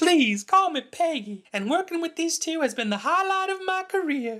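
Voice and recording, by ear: In a cartoonish character voice, a man squeaks at an extremely high pitch. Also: moderate pace.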